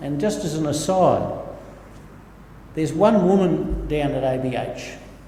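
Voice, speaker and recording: A man with a fairly high pitch talks at a fairly slow pace, leaving long, frequent pauses. His pitch varies in an ordinary way, and audible room echo surrounds him. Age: 60s. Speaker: pastor. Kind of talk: sermon. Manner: halting.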